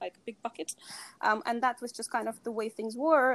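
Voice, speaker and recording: A fairly high-pitched woman's voice with a Russian accent. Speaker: sustainability consultant. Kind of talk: interview.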